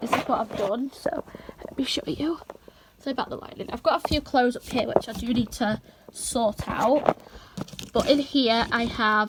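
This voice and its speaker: A woman's high pitch with ordinary pitch variation at a fairly slow pace, over noticeable background noise. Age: young. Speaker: vlogger. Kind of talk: casual talk to camera.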